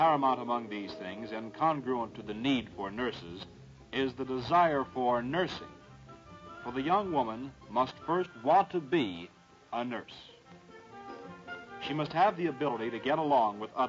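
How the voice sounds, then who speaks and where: Clear music plays behind a man who talks at a fairly slow pace with big swings in loudness and long, frequent pauses. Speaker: film narrator. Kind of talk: documentary narration. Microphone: old recording.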